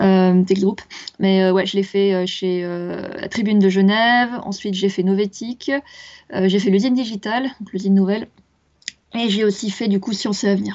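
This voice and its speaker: Fairly even intonation from a woman, medium in pitch and moderate in pace. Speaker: science journalist. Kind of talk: interview.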